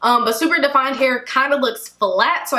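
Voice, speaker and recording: Her voice is raised and projected as a woman speaks at a moderate pace. Ordinary pitch variation comes through with audible room echo. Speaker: hair care vlogger. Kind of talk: casual vlog chat.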